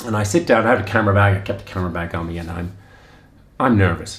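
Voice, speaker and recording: A man with a very deep, low voice talks fairly quickly with fairly even intonation, heard with audible room echo. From Ireland. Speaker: running vlogger. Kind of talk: casual storytelling. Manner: halting, many fillers and restarts.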